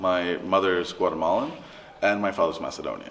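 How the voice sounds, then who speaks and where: Amid noticeable background noise and audible room echo, a man talks very fast in a monotone, flat way. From Latin America, mixed international upbringing. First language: Spanish. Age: 30s. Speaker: interviewee, family business worker. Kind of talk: interview. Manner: halting.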